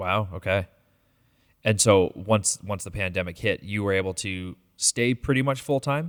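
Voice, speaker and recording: In a plain, everyday voice, a man speaks at a moderate pace, fairly low in pitch, with ordinary pitch variation. The recording is very clean with a silent background and has a dry, close sound with no echo. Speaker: podcast host. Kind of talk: interview.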